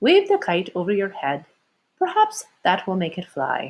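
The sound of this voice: Using a put-on character voice, a woman speaks at a fairly slow pace with medium pitch and very wide pitch swings.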